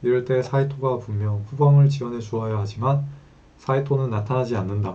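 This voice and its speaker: A man at medium pitch speaks with audible room echo. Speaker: web novel reader and commentator. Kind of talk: reading aloud with commentary; casual aside. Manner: stumbling pronunciation.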